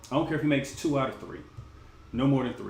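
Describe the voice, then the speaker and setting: Audible room echo around a man's voice at a medium pitch. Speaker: sports vlogger. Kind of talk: casual commentary livestream.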